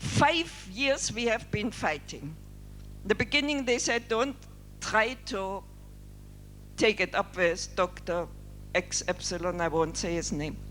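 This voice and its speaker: The speech moves at a fairly slow pace, broken by long, frequent pauses. Music plays in the background. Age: 60s. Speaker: doctor and leprosy worker. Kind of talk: keynote speech.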